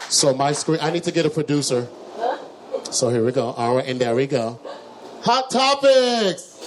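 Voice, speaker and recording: With an American accent and an animated tone, a man talks at a moderate pace, pausing long and often, over noticeable background noise. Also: fairly high pitch for a man, lively intonation. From Texas, Dallas (Oak Cliff). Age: 40s. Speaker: talk show host and musician. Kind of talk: live comedic talk show monologue. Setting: bar stage with live audience.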